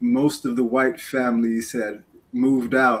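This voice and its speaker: Speaking in a New York accent, a man keeps his medium-pitched voice at a fairly even intonation. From New York City, Queens. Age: 60s. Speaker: community guest speaker. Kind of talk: interview storytelling.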